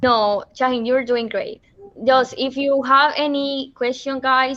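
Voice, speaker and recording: A woman talks with a Colombian accent. Her pitch is high and her pace is moderate. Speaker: meeting host. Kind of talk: casual meeting moderation.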